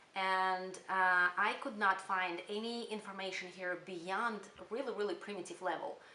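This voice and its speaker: In a room with audible echo, a woman speaks at a fairly slow pace in a bright, sharp, medium-pitched voice with ordinary pitch variation. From Kyrgyzstan. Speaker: spiritual channel creator. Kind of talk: casual channel introduction monologue. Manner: hesitant, many fillers.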